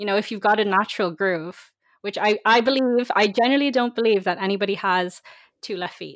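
A woman with a Dublin accent, ordinary pitch variation and a quiet background. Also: medium pitch for a woman. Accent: Dublin Irish. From Ireland. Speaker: university student and dancer. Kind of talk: casual interview chat.

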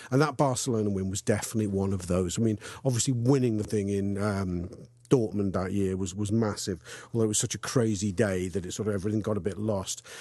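In a Liverpool accent, a man with a fairly low pitch and a dark, mellow tone speaks very fast with fairly even intonation against a quiet background. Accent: Liverpool (Scouse). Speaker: football fan contributor. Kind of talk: personal anecdote.

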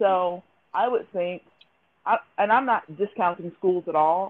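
This woman has an ordinary speaking voice. Her pitch is medium, with ordinary variation. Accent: American. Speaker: podcast host. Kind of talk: casual interview chat.

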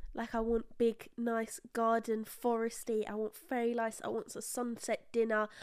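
In a British accent, a woman with a fairly high pitch speaks in an animated tone at a moderate pace with hardly any pauses, in a very clean recording with a silent background. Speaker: podcast co-host. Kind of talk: casual chat.

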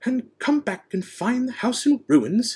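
Using a put-on character voice, a man growls at an extremely high pitch and a fairly slow pace. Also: ordinary pitch variation. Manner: snarling.

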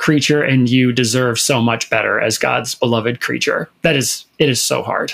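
A man speaks with an American accent at medium pitch. His intonation stays fairly even. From Minnesota, US Midwest. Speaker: fill-in podcast co-host, LGBTQ media advocate. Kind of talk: casual chat.

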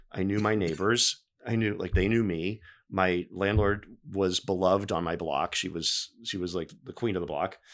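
A man's very deep, low voice with fairly even intonation on a very clean recording with a silent background. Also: moderate pace. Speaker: TV news producer. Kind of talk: casual chat. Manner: subdued.

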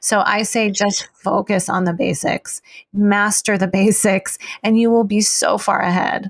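An unremarkable speaking voice with an American accent moves at a fairly slow pace, with fairly even intonation, very even loudness, and a dry, close sound with no echo. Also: woman, medium pitch for a woman. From US, Chinese American family. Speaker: acupuncturist and herbalist. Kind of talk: interview.

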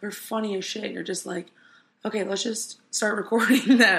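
A woman at a moderate pace, medium pitch, with vocal fry. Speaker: podcaster. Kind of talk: casual monologue. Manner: rambling, casual.

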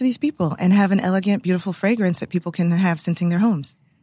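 A woman with an American accent speaks at a medium pitch in a dark, mellow tone. Her voice is somewhat breathy, and the background is quiet. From Texas, Houston (Clear Lake). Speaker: entrepreneur, candle company founder. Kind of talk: interview conversation.

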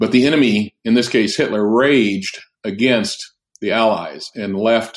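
A man's plain, everyday voice at medium pitch, with ordinary pitch variation. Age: 60s. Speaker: pastor and author. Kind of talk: casual chat.

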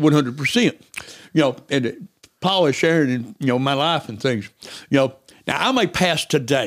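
Someone talks at a moderate pace in a rural Southern US accent, leaving long, frequent pauses. The recording is very clean, with a silent background. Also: man, fairly high pitch for a man, lively intonation. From US South, East Tennessee. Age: 60s. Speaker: missionary. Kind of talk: casual chat.

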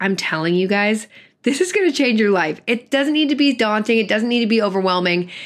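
This voice moves at a fairly quick pace with an animated tone, lively intonation and very even loudness. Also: woman, fairly high pitch for a woman. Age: 20s. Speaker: podcast producer and host. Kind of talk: scripted monologue.

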